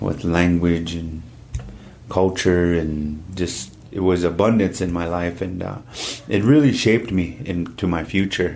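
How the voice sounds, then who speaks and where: Over audible room echo, a man with a very deep, low pitch talks at a fairly slow pace with ordinary pitch variation. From US Midwest (Standing Rock reservation, South Dakota). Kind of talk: interview.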